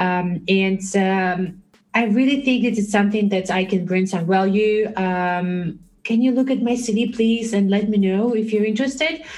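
A woman speaks with a non-native accent at a moderate pace. Her medium pitch shows ordinary variation, and her loudness is very even. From Belarus. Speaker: recruiter. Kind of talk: casual interview chat. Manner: halting, many fillers and repetitions.

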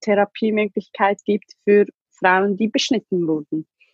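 Speaking at a fairly slow pace, a woman with a fairly high pitch and a plain, everyday voice keeps her intonation fairly even. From Ethiopia. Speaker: survivor sharing her life story. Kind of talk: emotional testimony in an interview.

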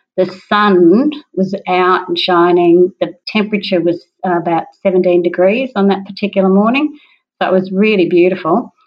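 Fairly even intonation in an Australian accent. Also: woman. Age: 60s. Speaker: parkrunner. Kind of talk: interview.

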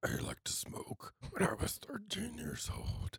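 The speaker uses a put-on character voice that sounds raspy. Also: fairly slow pace.

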